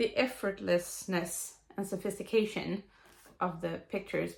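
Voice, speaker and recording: A woman speaks with a Swedish accent. Her pace is fairly slow. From Sweden. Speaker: knitter. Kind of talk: book review talk to camera. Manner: rambling, hesitant.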